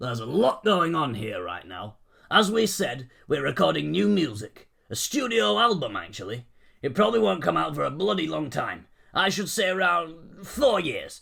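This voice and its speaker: Putting on a character voice, a man swings his fairly high pitch very widely at a moderate pace. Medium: read story. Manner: gruff, blunt.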